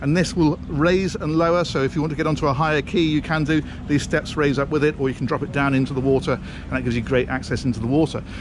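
A man's very fast speech with fairly even intonation, dry with no echo, over noticeable background noise. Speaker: presenter. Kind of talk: walkthrough tour commentary. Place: boat. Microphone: phone near.

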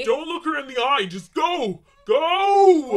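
The pace is fairly slow. The voice is a put-on character voice. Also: man, extremely high pitch for a man. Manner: frantic, whimpering.

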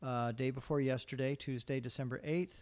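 The man's delivery moves along fairly quickly. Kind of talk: staff report at a public meeting. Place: hall. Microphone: podium.

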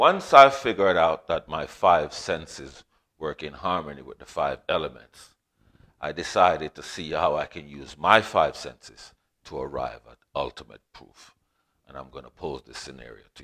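A man talks at a moderate pace, and his loudness swings widely. The background is quiet. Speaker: teacher. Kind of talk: lecture. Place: home room. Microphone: lapel.

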